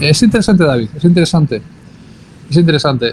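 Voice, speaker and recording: A man talks with a Spanish accent. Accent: Spanish (Spain). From Spain. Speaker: university professor. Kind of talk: online class discussion.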